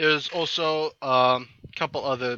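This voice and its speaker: Dry and close with no echo, a man with an American accent speaks at a fairly slow pace in a bright, sharp tone. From Iowa, US Midwest. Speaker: gaming YouTuber. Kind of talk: casual gameplay commentary. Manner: many fillers, hesitant.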